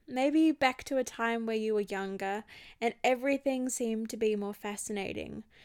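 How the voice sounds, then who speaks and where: An Australian accent at a moderate pace with ordinary pitch variation, on a very clean recording with a silent background. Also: woman, fairly high pitch for a woman. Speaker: podcast host, holistic healer and health coach. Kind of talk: solo reflective podcast talk.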